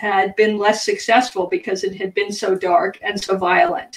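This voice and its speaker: The speaker is a woman. She talks fairly slowly, with typical rises and falls in pitch. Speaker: guest. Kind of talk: interview answer. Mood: mildly frustrated, laughing. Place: home room. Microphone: video call.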